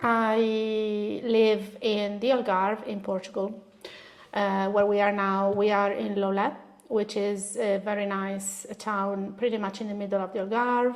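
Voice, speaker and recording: Speaking in an Italian accent at a fairly slow pace, a woman keeps a medium pitch and monotone, flat intonation amid audible room echo. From northern Italy, Bologna. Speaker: artist. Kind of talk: interview.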